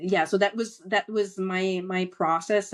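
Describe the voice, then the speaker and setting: Very slowly, a woman talks in a medium-pitched voice. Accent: French Canadian. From Quebec, French Canada. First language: French. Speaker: entrepreneur and author. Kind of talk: podcast interview. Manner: halting, many fillers.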